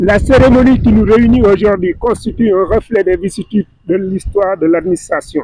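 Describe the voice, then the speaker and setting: A man's voice sits high in pitch yet has a dark, mellow tone, with ordinary pitch variation. The sound is dry and close, with no echo. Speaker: government official. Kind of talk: ceremonial speech. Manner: loud; formal.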